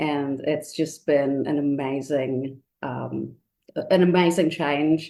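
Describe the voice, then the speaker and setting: A woman speaks in an Indian accent, her pitch very deep and low and her tone dark and mellow. She goes at a very slow pace with vocal fry and monotone, flat intonation. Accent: noticeable Indian. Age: 40s. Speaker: pilgrim preparing for first Camino. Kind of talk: podcast interview.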